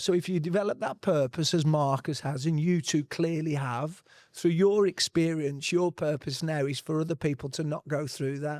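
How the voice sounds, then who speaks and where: Over a silent background in a very clean recording with a dry, close sound and no echo, a man with a fairly high pitch and an ordinary speaking voice talks at a moderate pace with fairly even intonation and hardly any pauses. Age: 40s. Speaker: panelist on men's health. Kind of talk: panel discussion.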